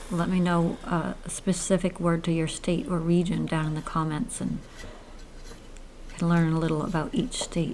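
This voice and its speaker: A woman speaks in a Maine accent at a fairly low pitch. Noticeable background noise is present. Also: moderate pace. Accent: Maine accent, drops r. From Maine, US. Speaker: woodturner, channel host. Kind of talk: narrated tutorial voiceover. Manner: casual, with hesitations.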